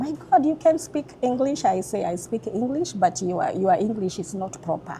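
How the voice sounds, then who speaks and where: The speaker talks with a Kenyan accent at a moderate pace, with very wide pitch swings. Noticeable background noise is present. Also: woman, fairly high pitch for a woman. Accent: Kenyan accent, kept. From Kenya (Nairobi, Nakuru). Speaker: restaurant owner. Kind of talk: interview. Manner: halting, repetitive.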